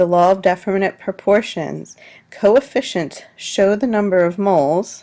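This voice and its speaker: Over a silent background in a very clean recording, a woman speaks at a fairly slow pace in a plain, everyday voice of medium pitch. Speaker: high school science teacher. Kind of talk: recorded test review lecture.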